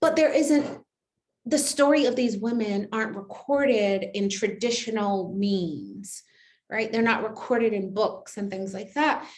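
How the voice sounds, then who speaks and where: A woman speaks at a fairly high pitch and sounds somewhat breathy. Her pitch varies in an ordinary way, with audible room echo around her. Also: fairly slow pace. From Barbados. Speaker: poet. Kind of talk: poetry reading event talk. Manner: halting, repeats words.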